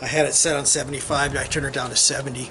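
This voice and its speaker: Noticeable background noise sits behind this man. He speaks with a Midwestern US accent in a monotone, flat intonation. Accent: US Midwest. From Iowa. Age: 60s. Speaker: hobby welder vlogger. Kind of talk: casual video commentary. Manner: halting.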